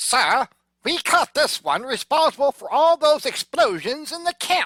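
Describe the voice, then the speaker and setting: A put-on character voice is pitched high. It moves at a moderate pace. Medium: audio drama. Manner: gruff, shouting.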